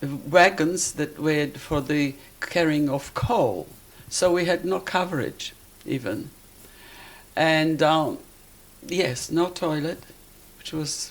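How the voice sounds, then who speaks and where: Very slow and full of long, frequent pauses, a woman speaks at a very deep, low pitch in a Polish accent. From Poland. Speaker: interviewee, Siberia deportation survivor. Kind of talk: interview, life story. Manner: halting.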